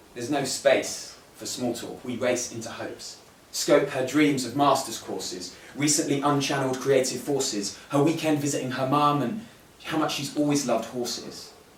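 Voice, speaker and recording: Through noticeable background noise, a man speaks at a moderate pace with a fairly high pitch and big swings in loudness. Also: ordinary pitch variation. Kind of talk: spoken word poetry performance at a live event. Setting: live poetry event at a museum. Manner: narrative, wry, storytelling delivery.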